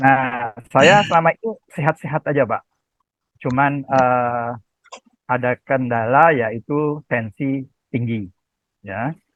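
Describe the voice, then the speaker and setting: Long, frequent pauses break up very slow speech whose pitch varies in an ordinary way. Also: man, medium pitch for a man. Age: 70s. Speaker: retiree asking doctor questions. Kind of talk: video call health Q&A question. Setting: video call.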